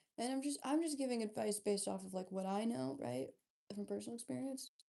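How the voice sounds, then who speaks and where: Quiet and fairly high in pitch, a woman speaks at a fairly quick pace in a dark, mellow tone. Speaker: livestreamer. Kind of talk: casual chat.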